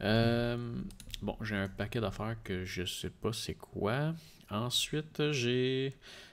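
A man with a Quebec accent, at a very slow pace. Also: ordinary pitch variation. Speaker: tech podcast co-host. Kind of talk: casual chat. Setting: live stream. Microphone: studio mic.

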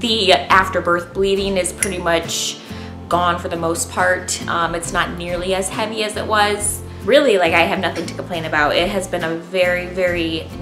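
Clear music plays in the background while a woman talks at a moderate pace. Her pitch is fairly low. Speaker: stay-at-home mom vlogger. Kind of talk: casual vlog chat. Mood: relaxed and cheerful. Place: home room. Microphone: camera far.

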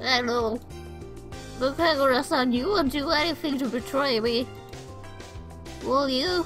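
Using a put-on character voice pitched high, a woman speaks at a moderate pace with very even loudness and long, frequent pauses while music plays clearly in the background. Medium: solo performance. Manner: sweet, earnest.

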